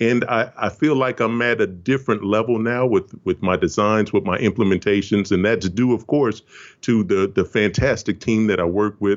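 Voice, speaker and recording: Here a man speaks at a moderate pace with fairly even intonation, his unremarkable speaking voice set at a fairly low pitch. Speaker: video game producer. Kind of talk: casual interview.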